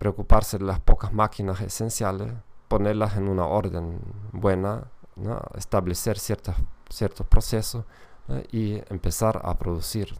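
With a German accent, a man speaks at a fairly slow pace in a fairly low pitch, his intonation fairly even but his loudness swinging widely. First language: German (speaking Spanish). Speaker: podcast host and language teacher. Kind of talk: educational monologue. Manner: halting, with many fillers and repetitions.

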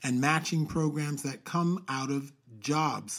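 A man with a normal speaking voice talks at a fairly slow pace and fairly high pitch, with ordinary pitch variation. The recording is very clean, with a silent background. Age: young. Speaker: podcast co-host. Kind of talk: casual chat.

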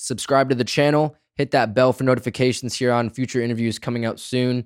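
In a normal speaking voice with fairly even intonation, the speech comes through on a very clean recording with a silent background. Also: man. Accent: American. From Grand Rapids, Michigan. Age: 20s. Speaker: podcast host. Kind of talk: scripted show intro and outro; casual interview chat.

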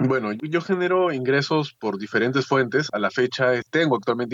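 Here a man has an unremarkable speaking voice. He talks at a fairly quick pace with ordinary pitch variation. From Peru. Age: 20s. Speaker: entrepreneur and coach. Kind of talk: interview.

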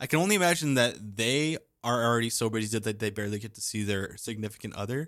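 The speaker talks at a very fast pace in a very clean recording with a silent background. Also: man, medium pitch for a man, ordinary pitch variation. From Canada. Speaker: podcast co-host. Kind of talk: casual chat. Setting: studio. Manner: animated.

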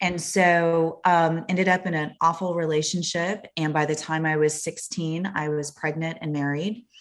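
A woman with an American accent has a plain, everyday voice and fairly even intonation. She speaks at a moderate pace with hardly any pauses. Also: fairly low pitch for a woman. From US Southwest (Phoenix, Arizona). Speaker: actress and author. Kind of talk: casual interview.

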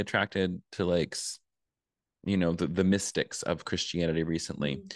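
Very deep, low pitch from a man with vocal fry at a moderate pace, dry and close with no echo, over a quiet background. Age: 30s. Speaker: spirituality coach and author. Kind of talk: casual chat.

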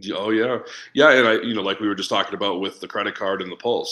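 On a very clean recording with a silent background, a man speaks with a fairly low pitch and a bright, sharp tone. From New England, Boston. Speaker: business coach. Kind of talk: podcast interview. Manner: fast talker.

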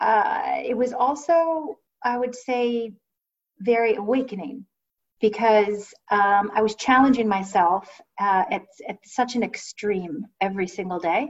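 A woman with an American accent speaks at a very slow pace and a fairly high pitch, with ordinary pitch variation and long, frequent pauses. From Ohio, US Midwest. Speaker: finance professional, former musical theater performer. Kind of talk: casual interview.

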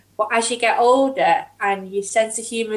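In a northern English accent, a woman speaks at a fairly slow pace. Her pitch is fairly high and her intonation fairly even. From northern England. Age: 30s. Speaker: podcast guest. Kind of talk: casual chat.

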